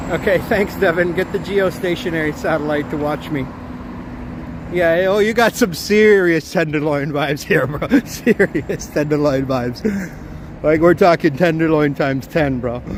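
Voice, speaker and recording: A fairly high-pitched man with a Canadian accent, ordinary pitch variation and noticeable background noise. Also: moderate pace. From southwestern Ontario, Canada. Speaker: live-stream walking vlogger. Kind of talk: live stream walking vlog, casual chat. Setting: outdoors walking on city streets.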